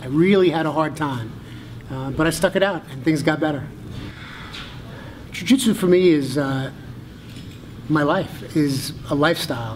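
Amid light background noise, a man speaks at a moderate pace with ordinary pitch variation and long, frequent pauses. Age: 50s. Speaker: jiu-jitsu purple belt. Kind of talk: interview answer. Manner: casual, hesitant. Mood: calm, reflective, heartfelt. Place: gym.

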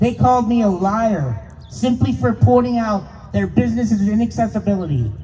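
A man with an American accent, high-pitched, lively in intonation, at a moderate pace with hardly any pauses, over light background noise. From Pennsylvania, US. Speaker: speaker. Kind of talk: rally speech. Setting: stage with audience. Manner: earnest, impassioned. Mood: aggrieved, earnest. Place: street. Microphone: handheld.

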